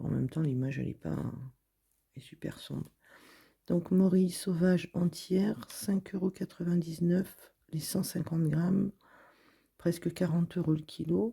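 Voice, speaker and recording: A woman speaks at a fairly low pitch with fairly even intonation and long, frequent pauses, her somewhat breathy voice dark and mellow. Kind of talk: reading and commenting on a supermarket flyer. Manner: casual, chatty.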